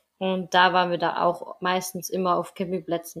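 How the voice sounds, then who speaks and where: A woman at a moderate pace. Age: 20s. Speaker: travel podcaster. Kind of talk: casual chat.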